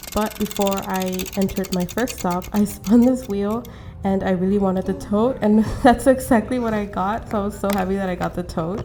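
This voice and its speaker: Music plays in the background as a woman talks at a moderate pace. Her pitch is medium, and her intonation is fairly even. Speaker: artist. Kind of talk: vlog voiceover narration.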